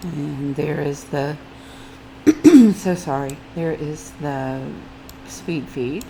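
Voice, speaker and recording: With audible room echo and noticeable background noise, a woman with a very deep, low voice speaks at a very slow pace and very even loudness, using ordinary pitch variation and long, frequent pauses. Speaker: mobile game YouTuber. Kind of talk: gameplay commentary. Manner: casual, chatty.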